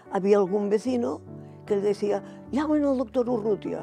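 Music plays clearly in the background of a dry recording with no echo. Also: woman. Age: 80s+. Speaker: interviewee, mother. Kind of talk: interview answer. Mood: warm, reminiscing. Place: home room.

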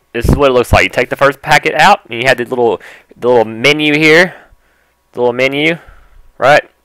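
A man talks at a fairly quick pace with an American accent, his pitch fairly high with ordinary variation. The background is quiet and the sound is dry with no echo. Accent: country, American. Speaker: gaming YouTuber doing an unboxing video. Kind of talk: casual, informal slang. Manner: excitable, energetic, enthusiastic. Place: home room. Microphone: headset.

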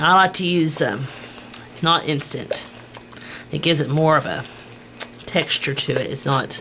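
A woman talks at a fairly slow pace in a fairly low pitch. Light background noise runs underneath. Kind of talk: tutorial. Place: kitchen. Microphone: old recording.

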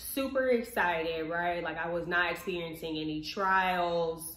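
Her pitch varies in an ordinary way, and the room gives audible echo. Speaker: vlogger. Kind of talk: casual vlog chat, personal story. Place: kitchen. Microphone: camera far.

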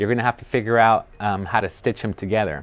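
Faint music sits in the background behind speech with fairly even intonation. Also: man. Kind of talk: interview answer. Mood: friendly, relaxed. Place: studio. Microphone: lapel.

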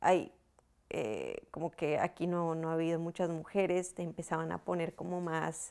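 At a fairly slow pace, a woman speaks in a monotone, flat intonation with a fairly low pitch. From Colombia. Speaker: racing driver; interviewee. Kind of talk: interview. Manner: hesitant, frequent repetitions. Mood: relaxed, smiling. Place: home room. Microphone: lapel.

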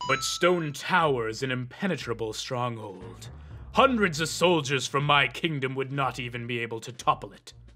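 Over clear music in the background, a man performs a put-on character voice at a medium pitch. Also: moderate pace. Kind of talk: formal fantasy speech. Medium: machinima. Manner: solemn, formal.

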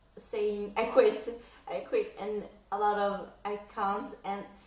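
There is an excited tone to this woman's voice, and audible room echo comes through around it. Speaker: reaction vlogger. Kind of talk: casual reaction vlog to camera. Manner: excited, hesitant with many fillers. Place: home room. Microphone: camera far.

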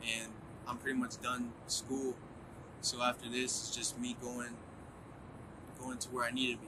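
With noticeable background noise behind him, a man speaks at a moderate pace in a monotone, flat intonation with long, frequent pauses. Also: medium pitch for a man. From United States (moved from Colombia at two; Boston, Florida, Canada, Philadelphia). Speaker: student entrepreneur, artist manager. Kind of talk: interview monologue.

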